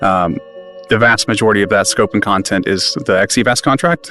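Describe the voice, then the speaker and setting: Very fast speech in an American accent, with music in the background. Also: man. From US South, rural north Georgia. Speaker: aerospace engineer, spacesuit program manager. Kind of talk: interview. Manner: hesitant, many fillers.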